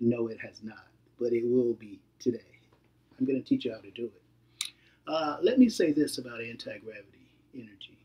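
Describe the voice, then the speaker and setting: A dark, mellow tone at a moderate pace, with long, frequent pauses, big swings in loudness and fairly even intonation. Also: man, medium pitch for a man. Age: 60s. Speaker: hobbyist video demonstrator. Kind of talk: tutorial. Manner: hesitant with frequent fillers.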